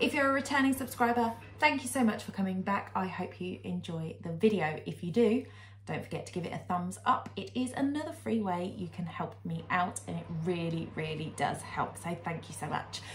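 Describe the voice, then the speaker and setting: Light background noise is present. A woman talks at a moderate pace. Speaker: home lifestyle vlogger. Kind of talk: casual vlog chat. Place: kitchen.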